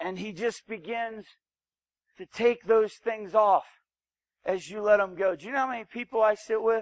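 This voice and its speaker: An American accent at a moderate pace, fairly even in intonation, with big swings in loudness and long, frequent pauses, in a dry, close sound with no echo. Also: man, high pitch for a man. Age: 40s. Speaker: preacher. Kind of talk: sermon.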